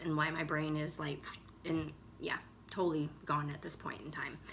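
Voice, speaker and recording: Her tone is animated as a woman speaks at a moderate pace. Audible room echo fills the recording. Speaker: cross-stitch video blogger. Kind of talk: casual chat. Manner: stuttering.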